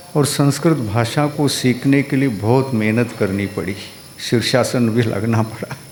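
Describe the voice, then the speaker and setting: A man with a Kannada accent, medium pitch and ordinary pitch variation, over noticeable background noise. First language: Kannada (speaking Hindi). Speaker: Jain monk. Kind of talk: religious discourse.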